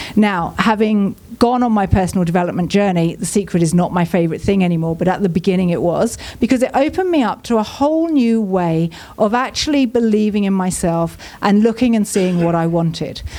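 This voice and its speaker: Her tone is dark and mellow, with a southern English accent. The woman moves at a fairly quick pace. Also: medium pitch for a woman, lively intonation. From southern England. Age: 40s. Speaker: business mentor and speaker. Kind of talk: inspirational talk. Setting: stage with audience.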